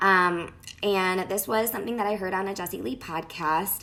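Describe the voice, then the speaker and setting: A woman speaks at a fairly low pitch. Vocal fry shows up in her voice. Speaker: personal development live streamer. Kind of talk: live video talk to viewers. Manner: casual, many fillers.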